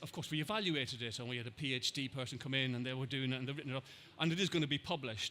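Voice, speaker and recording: Speaking in an Irish accent, a man has a fairly high pitch, a bright, sharp tone and ordinary pitch variation. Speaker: NHS trust digital health lead. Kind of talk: conference Q&A. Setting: conference stage with audience, headset mic. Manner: repetitive false starts.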